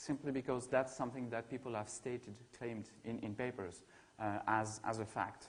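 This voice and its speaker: Speaking with a French accent, a man keeps a medium pitch, fairly even intonation and a moderate pace. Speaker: ecology researcher. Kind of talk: academic seminar talk. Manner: hesitant, many fillers and repetitions.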